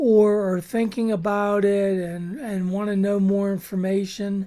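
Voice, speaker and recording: With an American accent, a woman speaks fairly slowly in a dark, mellow tone. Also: very clean recording, silent background. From Chicago suburbs. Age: 70s. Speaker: weight loss vlogger, retiree. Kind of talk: casual vlog talk to camera. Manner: hesitant, many fillers (uh, um).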